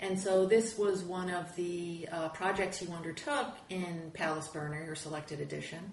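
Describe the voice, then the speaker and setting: Noticeable background noise sits behind a woman's fairly low-pitched voice. Her pitch varies in an ordinary way, and she hardly pauses. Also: moderate pace. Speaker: professor and interviewer. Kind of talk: interview.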